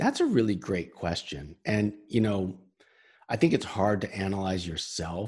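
Here is a man with an ordinary speaking voice and an American accent, pitched fairly low. He talks at a fairly slow pace with ordinary pitch variation against a quiet background. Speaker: sales consultant and author. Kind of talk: interview. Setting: video call.

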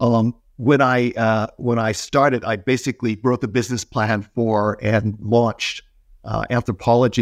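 In an ordinary speaking voice, a man at medium pitch keeps fairly even intonation, with a dry, close sound, no echo, and a very clean recording with a silent background. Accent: American. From US. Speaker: retail and ecommerce expert. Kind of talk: casual interview.

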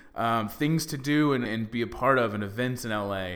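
With an American accent, a man speaks in an ordinary speaking voice at a medium pitch and fairly quick pace, with ordinary pitch variation. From Texas (Dallas). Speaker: podcast host, actor. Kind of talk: casual chat.

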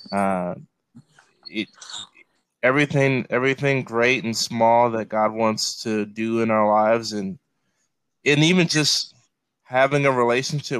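With an American accent, a man speaks at medium pitch and a fairly slow pace, using ordinary pitch variation. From Chicago south suburbs, US Midwest. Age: 30s. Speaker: pastor. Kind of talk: casual chat. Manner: repetitive, halting restarts.

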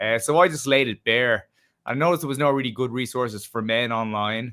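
With an Irish accent, a man of medium pitch talks at a fairly quick pace and keeps his intonation fairly even. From Ireland. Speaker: travel writer and adventurer. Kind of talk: casual interview chat.

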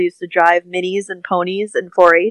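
Dry and close with no echo, a woman's medium-pitched voice stays monotone and flat. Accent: Midwestern US. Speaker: tack business owner. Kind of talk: casual interview chat.

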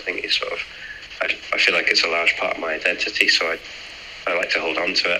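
Against noticeable background noise, a man speaks. He talks at a very fast pace in a northern English accent. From northern England. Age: 30s. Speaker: aerospace engineer and amateur triathlete. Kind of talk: casual interview.

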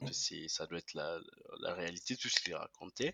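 A man at a fairly slow pace. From DR Congo. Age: 20s. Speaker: entrepreneur. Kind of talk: interview. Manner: halting.

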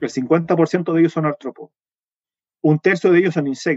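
A man's voice comes through with a dry, close sound with no echo. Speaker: entomologist and university researcher. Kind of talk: interview. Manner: fast; hesitant, many fillers.

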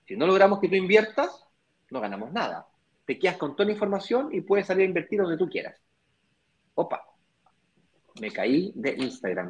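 At a moderate pace, a man with a high pitch and lively intonation leaves long, frequent pauses. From Chile. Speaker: real estate investment business partner. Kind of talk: live stream conversation.

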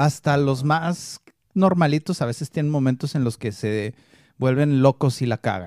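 A man uses an ordinary speaking voice with ordinary pitch variation, recorded dry and close with no echo on a very clean recording with a silent background. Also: fairly high pitch for a man, fairly slow pace. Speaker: MMA podcast co-host. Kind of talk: casual chat.

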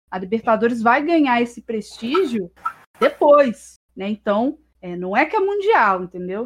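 A woman's high-pitched voice at a fairly slow pace. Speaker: history student and streamer. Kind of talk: casual chat.

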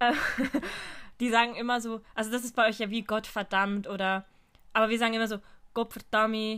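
On a very clean recording with a silent background, a woman with a fairly high pitch speaks at a moderate pace in a monotone, flat intonation. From Switzerland. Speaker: podcast co-host. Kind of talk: casual chat.

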